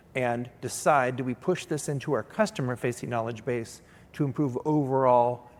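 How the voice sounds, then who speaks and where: This man's voice sits at a medium pitch. His pitch varies in an ordinary way. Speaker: head of technical support. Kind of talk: conference panel talk. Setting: stage with live audience. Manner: fast.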